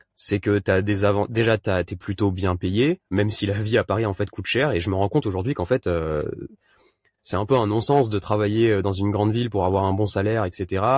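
A man talks at a fairly quick pace with fairly even intonation. The recording is very clean, with a silent background. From Réunion. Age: 30s. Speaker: vanlifer and youtuber. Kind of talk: casual interview. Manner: halting, many repetitions and fillers.

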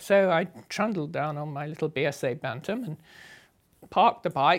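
In a southern English accent, the speaker uses lively intonation at a moderate pace, with big swings in loudness on a very clean recording with a silent background. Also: woman. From southern England, Sussex. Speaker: motorcycle traveller. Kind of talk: interview storytelling.

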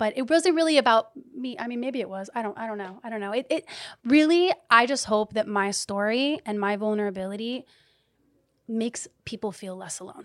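A plain, everyday voice moves at a fairly quick pace with lively intonation. Its loudness swings widely. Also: woman, fairly high pitch for a woman. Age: 30s. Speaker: health and wellness influencer and entrepreneur. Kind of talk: casual chat.

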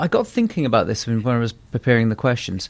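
With an unremarkable speaking voice at medium pitch, a man speaks at a fairly quick pace. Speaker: podcast host. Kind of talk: interview and scripted intro.

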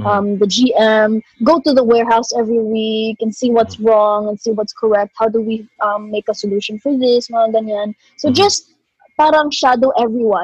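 At a moderate pace, a woman with a fairly high pitch and a somewhat breathy voice speaks with fairly even intonation. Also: dry, close sound with no echo. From Philippines. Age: 20s. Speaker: rapper. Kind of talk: interview.

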